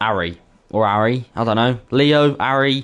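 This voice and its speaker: With a Birmingham accent and ordinary pitch variation, a man speaks against a quiet background. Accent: Brummie, Birmingham English. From Birmingham, England. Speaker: esports racing commentator and streamer. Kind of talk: casual chat with stream viewers; live commentary. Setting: live stream. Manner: casual, filler-heavy.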